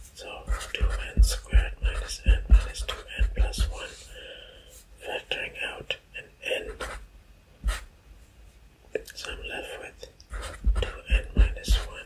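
Soft-spoken and whispering, the voice moves at a very slow pace with long, frequent pauses. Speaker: math teacher. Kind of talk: tutorial. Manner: soft male ASMR whisper.

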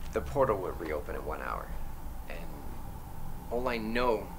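A man whispering at a moderate pace. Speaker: actor playing time traveler. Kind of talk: scripted film dialogue. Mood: earnest, pleading, slightly comic. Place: kitchen.

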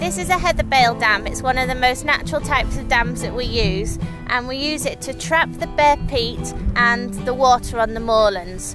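A woman speaks at a moderate pace with music in the background. The sound is dry, with no echo. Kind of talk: explanatory interview to camera. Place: open country. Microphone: lapel.

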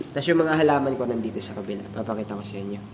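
At a very fast pace, a man talks in a medium pitch, with noticeable background noise and audible room echo. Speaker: aquarium hobbyist vlogger. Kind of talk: casual video tutorial. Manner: casual, conversational.

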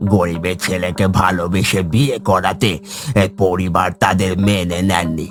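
Against clear background noise, a man uses a cartoonish character voice with a very deep, low pitch at a fairly slow pace. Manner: grave, solemn.

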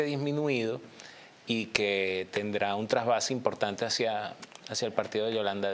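The pace is moderate. Pitch variation is ordinary. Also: man. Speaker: TV political commentator. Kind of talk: commentary. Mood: calm analytical. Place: studio.

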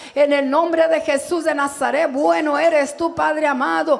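At a moderate pace, a woman talks in a high voice. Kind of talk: public prayer. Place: church. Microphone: handheld.

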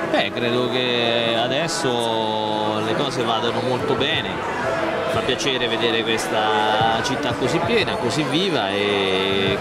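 Music plays in the background as a man talks at a fairly slow pace. The sound is dry with no echo. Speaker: interviewee. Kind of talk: interview answer. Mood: warm festive greetings. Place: street. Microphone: handheld.

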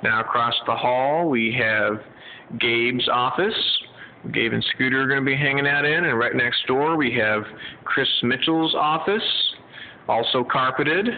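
A man speaks at a fairly slow pace with ordinary pitch variation. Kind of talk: casual walk-through tour. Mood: pleased. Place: hall. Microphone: phone near.

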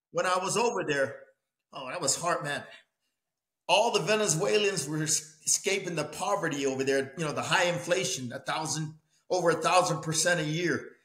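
With audible room echo but a quiet background, a man talks at a moderate pace with ordinary pitch variation. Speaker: boxing coach guest. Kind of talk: interview answer. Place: home room.

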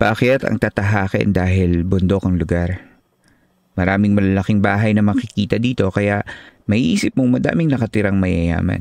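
At a moderate pace, a man speaks in a plain, everyday voice that sits fairly low. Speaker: podcast host and narrator. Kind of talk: horror story narration read aloud, with host intros and comments. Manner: hushed, measured, suspenseful.

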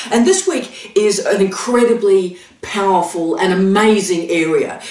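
With the room's echo clearly audible, a woman talks fairly slowly, her pitch varying in an ordinary way. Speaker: academic vlogger. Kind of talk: educational vlog talk. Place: home room.

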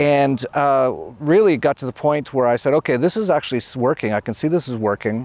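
Against a dry sound with no echo, a man talks at a fairly quick pace with ordinary pitch variation. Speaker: interview show host. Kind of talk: show intro, casual talk. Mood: upbeat, laughing often. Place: open country. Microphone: lapel.

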